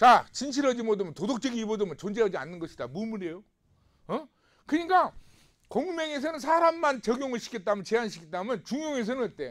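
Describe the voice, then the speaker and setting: This man's voice sits at an extremely high pitch and swings very widely. He talks at a fairly quick pace. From South Korea, Namwon, North Jeolla. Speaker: professor. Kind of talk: lecture. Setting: recorded video lecture. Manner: conversational, with frequent rhetorical questions.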